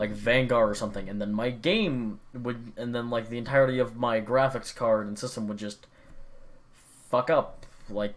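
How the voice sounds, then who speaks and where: A man with an ordinary speaking voice talks at medium pitch and a moderate pace, with fairly even intonation. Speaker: gaming vlogger. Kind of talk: casual monologue.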